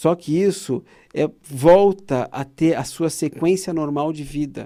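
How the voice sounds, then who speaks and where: In a very clean recording with a silent background, a man with a dark, mellow tone and fairly high pitch speaks at a very slow pace. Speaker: oral surgeon, TV show host. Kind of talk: informative talk to viewers. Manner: animated; hesitant, repeating words.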